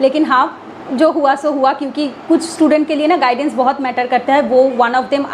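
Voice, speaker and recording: A woman's high voice in a Bengali accent, moderate in pace with fairly even intonation, over noticeable background noise. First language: Bengali (speaking Hindi). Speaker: exam aspirant vlogger. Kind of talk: casual vlog talk. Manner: halting with fillers and self-corrections; code-switching Hindi and English.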